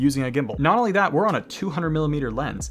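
A man is speaking. Faint music plays behind him. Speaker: filmmaker youtuber. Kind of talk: casual vlog commentary. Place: home room.

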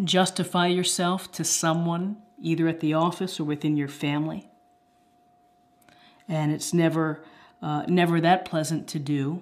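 A woman with a fairly low pitch and fairly even intonation speaks at a moderate pace, pausing long and often. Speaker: tarot reader. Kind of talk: tarot reading commentary. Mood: calm, reflective. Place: home room.

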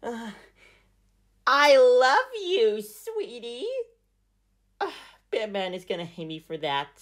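Speaking at a very slow pace with long, frequent pauses, a woman's voice makes very wide pitch swings and big swings in loudness against a quiet background. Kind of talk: comedic puppet skit dialogue. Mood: playful, mock nervous. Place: home room. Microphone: phone near.

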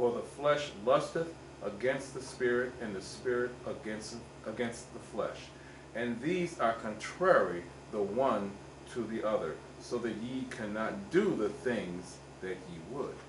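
The voice moves at a fairly slow pace with lively intonation over noticeable background noise. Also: man. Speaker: church member. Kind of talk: reading aloud. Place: church. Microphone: camera far.

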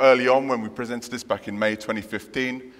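A man's voice with fairly even intonation. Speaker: conference speaker. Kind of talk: lecture. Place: hall. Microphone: headset.

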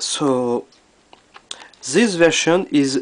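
A man in a French accent, fairly high pitch and ordinary pitch variation. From France. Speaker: retro gaming video maker. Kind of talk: casual talk to camera, game review. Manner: hesitant.

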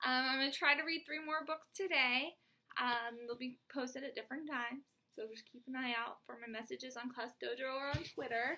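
The voice is raised and projected, with big swings in loudness, a bright, sharp tone, ordinary pitch variation and a fairly quick pace. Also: woman. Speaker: teacher reading to her class. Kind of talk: teacher talking to pupils. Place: home room. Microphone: webcam.

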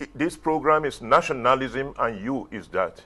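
A man's very slow speech with vocal fry. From Nigeria. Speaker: TV talk show host. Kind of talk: TV studio interview. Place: studio.

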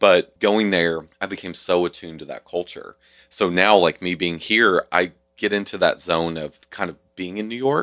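On a very clean, dry, close recording with no echo and a silent background, a man with a Southern US accent speaks in a bright, sharp tone at a very deep, low pitch with ordinary pitch variation. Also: moderate pace. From US South. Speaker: nonprofit community leader. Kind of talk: interview.

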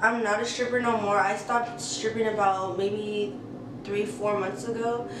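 Someone with an American accent speaks at a moderate pace amid noticeable background noise and audible room echo. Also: woman. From US West Coast, San Francisco Bay Area (Redwood City). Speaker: YouTuber. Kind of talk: casual Q&A vlog. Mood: relaxed, candid. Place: home room.

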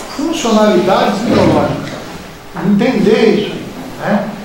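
Over noticeable background noise and strong room echo, a man speaks with ordinary pitch variation. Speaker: environmental technician. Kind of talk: panel discussion. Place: hall.

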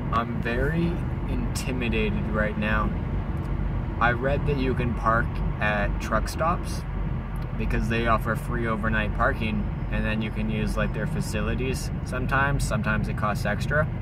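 Loud background noise accompanies a man speaking at a moderate pace, with a dry sound and no echo. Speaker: van-life vlogger. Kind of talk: casual vlog chat. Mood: a bit intimidated, wry. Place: car. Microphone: phone near.

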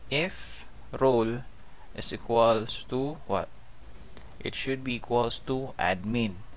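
A very slow delivery with long, frequent pauses, ordinary pitch variation and audible room echo. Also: man, medium pitch for a man. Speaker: programming tutorial instructor. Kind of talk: screen-recorded coding tutorial. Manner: casual, with frequent fillers (um, okay).

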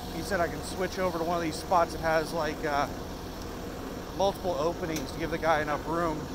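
A man talks at a fairly quick pace, the sound dry with no echo, amid loud background noise. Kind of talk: casual vlog chat. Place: street. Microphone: phone near.

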